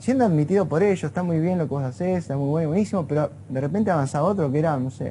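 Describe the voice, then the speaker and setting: In an Argentine accent, a man with a fairly high pitch and a dark, mellow tone rushes along at a very fast pace with hardly any pauses and ordinary pitch variation. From Argentina. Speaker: neurophysiologist. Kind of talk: interview. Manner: conversational, informal.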